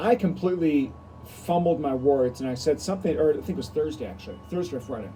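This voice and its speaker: A man's fairly high voice, dark and mellow in tone, with very wide pitch swings. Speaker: pastor. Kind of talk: devotional video talk. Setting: outdoors. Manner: fast, mumbling; louder than usual.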